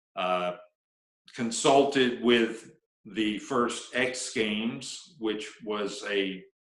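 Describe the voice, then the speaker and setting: A man speaks at a medium pitch with ordinary pitch variation, and the room echo is audible. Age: 60s. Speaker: snowboarding pioneer and coach. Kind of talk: interview. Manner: halting.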